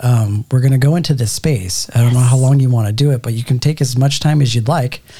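A man's dark, mellow, somewhat breathy voice at medium pitch, fairly quick in pace, with ordinary pitch variation. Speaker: podcast host.

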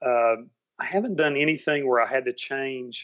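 A man speaks in a Southern US accent at a medium pitch. His pace is fairly slow. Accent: Southern accent, returned after seminary. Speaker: actor and former seminary student. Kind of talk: casual chat.

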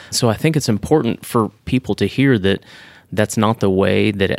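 An unremarkable speaking voice from a man, fairly low in pitch with ordinary pitch variation, dry and close with no echo, in a very clean recording over a silent background. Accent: American. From Texas. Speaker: podcast co-host. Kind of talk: casual chat.

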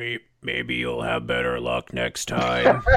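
In a put-on character voice, a man speaks very slowly with a raspy, very deep, low pitch. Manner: smug, taunting.

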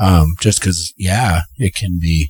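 A somewhat breathy voice with a dry, close sound and no echo speaks at a fairly slow pace with fairly even intonation. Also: man. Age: 30s. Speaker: podcast co-host. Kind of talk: casual chat.

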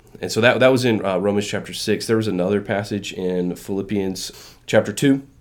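With an unremarkable speaking voice, a man talks at a fairly quick pace with hardly any pauses, fairly even intonation and a fairly low pitch. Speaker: podcast co-host. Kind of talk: casual chat.

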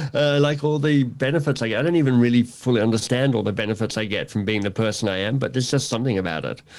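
An Australian-accented man talks very fast with hardly any pauses. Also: medium pitch for a man, ordinary pitch variation. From Australia, Canberra. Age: 50s. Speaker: author and coach. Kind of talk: casual interview.

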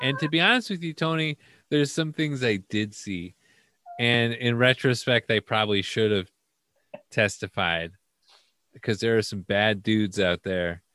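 A man at medium pitch with a bright, sharp tone, animated and with lively intonation, at a moderate pace with long, frequent pauses, in a very clean recording with a silent background and a dry, close sound with no echo. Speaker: podcast host. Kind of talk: comedic podcast banter. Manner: joking, animated.

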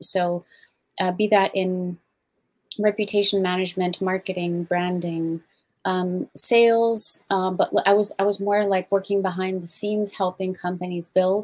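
Speaking with an American accent, a woman talks at a fairly slow pace in a medium pitch. Her intonation is monotone and flat, and the sound is dry and close with no echo. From Switzerland and Germany, also US. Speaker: business founder and activist. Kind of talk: casual chat.

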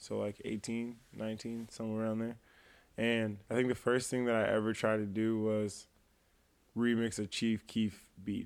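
In a very clean recording with a silent background, a man with an American accent speaks at a moderate pace in a medium pitch with monotone, flat intonation. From US Midwest, Quad Cities (East Moline, Illinois). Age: 20s. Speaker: musician. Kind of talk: casual chat.

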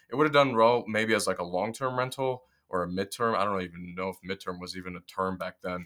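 Talking very fast with an American accent, a man has a bright, sharp tone, fairly low pitch and ordinary pitch variation. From Detroit, Michigan, US Midwest. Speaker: real estate investor. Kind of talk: casual interview.

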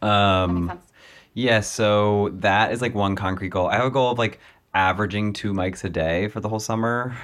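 With fairly even intonation, a man speaks at a moderate pace and fairly low pitch in a plain, everyday voice. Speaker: comedian. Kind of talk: casual chat.

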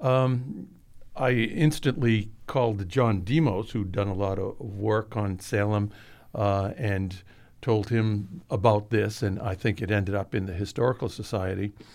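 Heard on a very clean recording with a silent background, a man with an American accent has a plain, everyday voice, a fairly low pitch and ordinary pitch variation, and speaks at a fairly slow pace. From Massachusetts (Watertown, near Boston). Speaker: history professor. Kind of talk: interview. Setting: studio.

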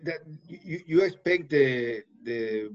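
This man speaks with a Puerto Rican accent. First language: Spanish. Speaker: newspaper correspondent and podcast host. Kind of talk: interview. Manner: halting, many hesitations in English.

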